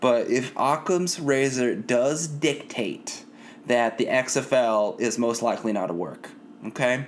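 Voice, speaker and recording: A man talks at a fairly slow pace in a normal speaking voice. His pitch is medium, with ordinary variation. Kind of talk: sarcastic podcast rant, promo-style callout addressed to a named person.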